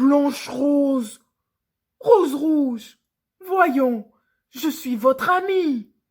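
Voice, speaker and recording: Growling in a put-on character voice, a woman speaks at a high pitch and a very slow pace, with long, frequent pauses. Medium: read story. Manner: gentle, warm.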